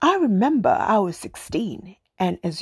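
A woman with an East African accent, vocal fry and lively intonation. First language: Swahili. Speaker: podcast host. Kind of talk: personal storytelling monologue.

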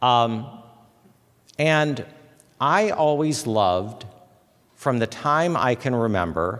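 Speaking at a very slow pace, a man with an American accent uses lively intonation. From US Midwest, Fort Wayne, Indiana. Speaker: chapel speaker, former political press figure. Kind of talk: chapel talk. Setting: university chapel with audience. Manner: hesitant, many fillers.

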